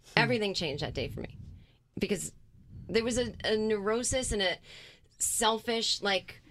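In a very clean recording with a silent background, a woman with an American accent talks at a moderate pace in a fairly high pitch, with vocal fry, ordinary pitch variation and long, frequent pauses. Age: 40s. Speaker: comedian. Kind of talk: casual chat.

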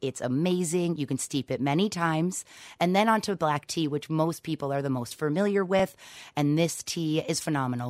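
The speaker has an American accent and an upbeat tone with ordinary pitch variation. The recording is very clean, with a silent background. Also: woman. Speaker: tea shop owner. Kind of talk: radio interview.

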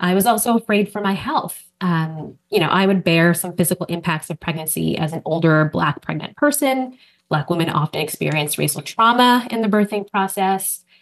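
A woman uses an ordinary speaking voice at medium pitch. She talks at a moderate pace with lively intonation and hardly any pauses. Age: 40s. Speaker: journalism professor. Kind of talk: personal interview.

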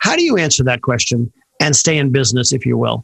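With fairly even intonation and a somewhat breathy sound, the man's voice stays at a medium pitch. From US West Coast, Bay Area. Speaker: podcast host, event photographer. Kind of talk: interview.

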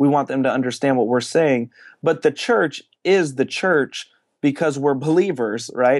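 With an American accent, a man talks at a moderate pace and medium pitch in a plain, everyday voice against a quiet background. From New Jersey. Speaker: church planter, pastor. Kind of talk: interview.

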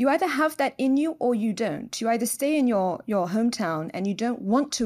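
Speaking fairly quickly in a London accent, a woman uses a dark, mellow tone and fairly high pitch with very wide pitch swings, on a very clean recording with a silent background. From London, England. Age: 30s. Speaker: biotech entrepreneur. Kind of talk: interview.

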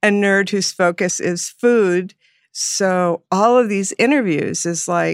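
With a Californian accent and ordinary pitch variation, a woman is recorded very cleanly against a silent background, the sound dry and close with no echo. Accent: Californian American. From Los Angeles. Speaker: radio host and former chef. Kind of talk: casual chat.

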